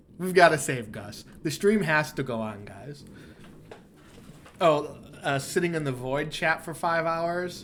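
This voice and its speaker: Speaking fairly slowly with long, frequent pauses, a man with a fairly high voice sounds animated, his pitch varying in an ordinary way. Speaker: game developer streamer. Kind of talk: live gameplay stream. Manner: casual and animated.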